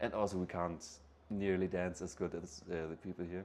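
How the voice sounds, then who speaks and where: A man speaks with a German accent. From northern Germany, near Hamburg. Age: 20s. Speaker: backpacker. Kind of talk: interview. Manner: halting, many fillers and repeats.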